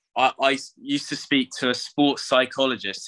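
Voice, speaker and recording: Over a quiet background, a man with a bright, sharp tone speaks at medium pitch and a moderate pace in a monotone, flat intonation. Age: 20s. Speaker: racing driver; guest. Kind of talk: interview. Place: home room. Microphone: video call.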